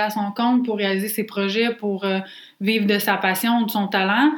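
A woman with fairly high pitch is heard amid noticeable background noise and audible room echo. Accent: Quebec. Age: 20s. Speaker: podcast co-host, entrepreneur. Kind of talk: casual chat.

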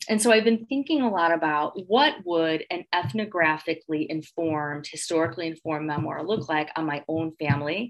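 A woman with a Midwestern American accent, a fairly low pitch, lively intonation and a moderate pace. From Northwest Indiana (Gary). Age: 40s. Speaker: professor and author. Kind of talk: interview.

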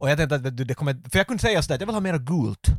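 Somewhat breathy and fairly high in pitch, a man's voice moves in very wide pitch swings on a very clean recording with a silent background and a dry, close sound with no echo. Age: 30s. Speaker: podcast host. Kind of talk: casual chat.

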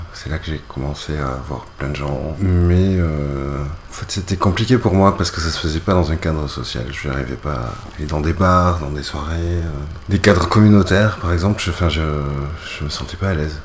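Over noticeable background noise and audible room echo, a man with a very deep, low pitch talks at a moderate pace with ordinary pitch variation. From rural France, mountain valley. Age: 30s. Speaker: sex worker and illustrator. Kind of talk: interview. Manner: halting.

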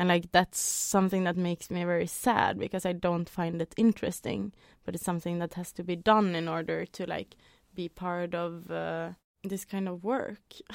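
A woman with a Norwegian accent speaks at a moderate pace in a fairly low pitch and monotone, flat intonation, with a dry, close sound and no echo. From Norway. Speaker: dance artist and arts organizer. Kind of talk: casual chat.

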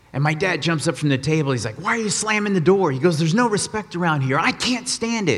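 Speaking in an American accent, a man with a high pitch and lively intonation talks at a very fast pace with hardly any pauses, amid noticeable background noise. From Texas, Austin. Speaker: guest preacher. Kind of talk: sermon. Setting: church.

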